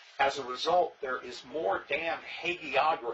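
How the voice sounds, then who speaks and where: Speaking at a fairly slow pace, a man is heard against noticeable background noise. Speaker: SCA founding member, former king. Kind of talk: interview.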